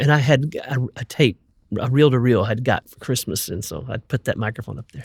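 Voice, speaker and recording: A man speaks at a fairly quick pace in a somewhat breathy voice, the sound dry and close with no echo. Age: 60s. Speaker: gospel singer. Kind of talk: interview conversation.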